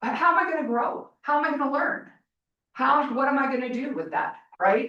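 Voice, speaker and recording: A woman talks in a raised, projected voice with a high pitch and a bright, sharp tone. Her intonation is lively and her pace fairly quick. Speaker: college president. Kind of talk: report to board meeting. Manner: loud.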